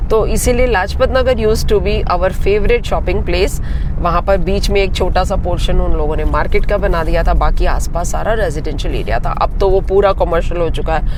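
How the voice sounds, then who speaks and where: A man talks with hardly any pauses at a very even loudness, with noticeable background noise and audible room echo. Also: moderate pace. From Delhi, India (Sindhi family). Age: 60s. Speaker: food and lifestyle vlogger. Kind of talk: vlog intro. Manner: chatty.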